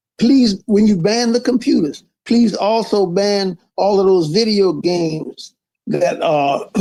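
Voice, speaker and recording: In a Louisiana accent, a man speaks fairly slowly at a high pitch, with a dark, mellow tone, ordinary pitch variation and very even loudness. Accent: Louisiana Southern US. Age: 80s+. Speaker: politician. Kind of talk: interview.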